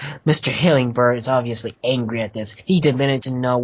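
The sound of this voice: The clip features an unforced reading voice. That is how it comes across throughout.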